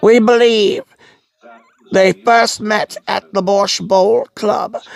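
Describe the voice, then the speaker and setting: This woman uses a put-on character voice at a medium pitch with fairly even intonation. She talks at a very slow pace. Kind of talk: fan dub of game text. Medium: solo performance. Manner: formal, smug.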